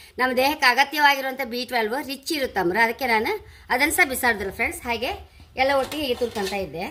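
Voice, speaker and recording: A woman speaks in a raised, projected voice with a high pitch. Her tone is bright and sharp, her intonation lively. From Andhra Pradesh, India. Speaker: cooking video creator. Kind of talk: cooking tutorial. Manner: casual, chatty.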